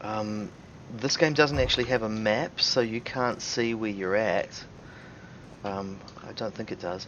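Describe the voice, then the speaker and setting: Quiet, fairly slow American-accented speech with ordinary pitch variation, long, frequent pauses and noticeable background noise. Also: man, medium pitch for a man. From New Zealand. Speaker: video game streamer. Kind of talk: let's play commentary. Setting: live stream. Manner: casual, with many fillers; quiet voice.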